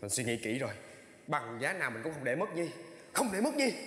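Fairly quick speech with audible room echo. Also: man. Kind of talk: emotional reality show talk. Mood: earnest, resolved, emotional. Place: studio.

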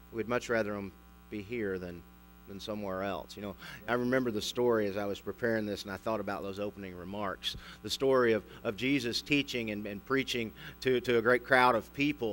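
A man talks at a fairly quick pace in a plain, everyday voice, fairly low in pitch with fairly even intonation. Light background noise sits behind him. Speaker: pastor. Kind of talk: sermon. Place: church.

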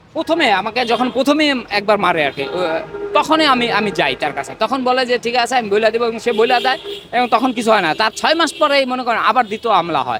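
With music in the background, a man with an extremely high pitch speaks in a raised, projected voice, his tone animated and his intonation lively. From Bangladesh, Madaripur. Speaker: protester, son of a freedom fighter. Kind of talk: street interview, protest testimony. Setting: outdoors on the street.

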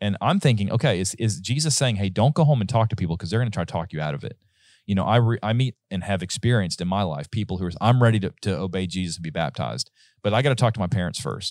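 Very fast and fairly low in pitch, a man speaks with dry sound, no echo, and a quiet background. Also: lively intonation. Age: 30s. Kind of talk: casual Bible study discussion. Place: studio. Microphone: studio mic.

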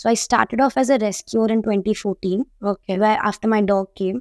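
In a quiet background, a woman speaks at a moderate pace with very even loudness. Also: fairly even intonation, dry sound with no echo. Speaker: guest. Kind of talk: interview answer. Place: studio.

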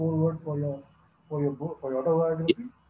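Light background noise and audible room echo are heard. A man speaks at a fairly high pitch with fairly even intonation. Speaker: cricket interviewer. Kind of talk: interview. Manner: formal. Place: home room. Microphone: earbuds.

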